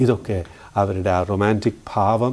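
This man has a fairly low pitch, a dark, mellow tone and ordinary pitch variation. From Kerala. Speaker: astrologer. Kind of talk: astrology forecast talk. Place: studio. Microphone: lapel.

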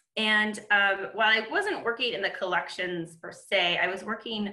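Fairly even intonation and a moderate pace come through with audible room echo over a quiet background. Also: woman. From Michigan. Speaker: conservation biologist; webinar panelist. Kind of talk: webinar panel presentation. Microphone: webcam.

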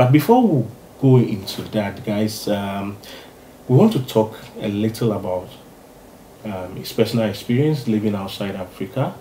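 The speaker moves at a moderate pace with ordinary pitch variation and long, frequent pauses. Audible room echo and light background noise are present. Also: man, fairly low pitch for a man. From Ghana. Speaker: YouTube interviewer. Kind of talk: interview. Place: home room.

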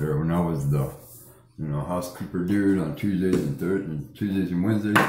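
A man is speaking. The room echo is audible. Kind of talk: casual vlog chat. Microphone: phone near.

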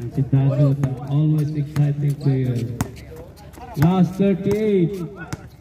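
The speech goes at a very slow pace with long, frequent pauses, against noticeable background noise. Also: man, fairly high pitch for a man, ordinary pitch variation. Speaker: amateur game commentator filming. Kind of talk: sports commentary. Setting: basketball gym, live game. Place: street. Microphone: phone near.

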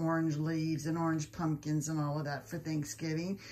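Somewhat breathy, a woman speaks in a warm, enthusiastic tone. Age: 70s. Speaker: lifestyle YouTuber. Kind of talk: home decor tutorial. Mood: warm, pleased. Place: home room. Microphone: phone near.

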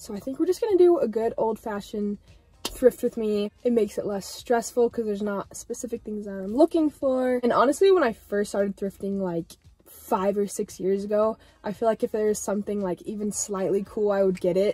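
Faint music plays in the background of this dry recording with no echo. A woman speaks at a fairly quick pace with ordinary pitch variation. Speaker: fashion vlogger. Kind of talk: casual vlog chat. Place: car. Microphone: phone near.

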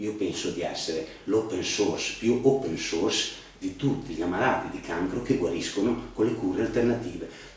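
In a room with audible echo, a man talks at a fairly low pitch with ordinary pitch variation. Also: moderate pace. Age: 50s. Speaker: cancer patient vlogger. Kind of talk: personal testimony monologue. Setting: home video studio. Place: home room. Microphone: camera far.

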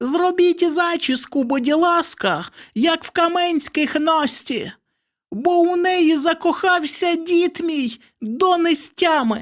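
A put-on character voice with an extremely high pitch moves at a fairly slow pace on a very clean recording with a silent background. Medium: read story.

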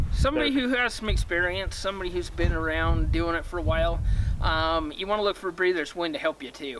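Noticeable background noise fills the clip. Through it, a man talks very fast. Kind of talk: interview answer. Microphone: camera far.

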